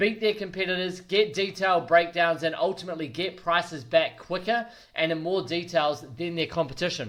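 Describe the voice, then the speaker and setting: Energetic in tone, a man with a New Zealand accent talks at a fairly quick pace and a high pitch with ordinary pitch variation. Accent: New Zealand (Kiwi). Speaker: quantity surveyor and business coach. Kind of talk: business advice talk to camera. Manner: energetic, direct.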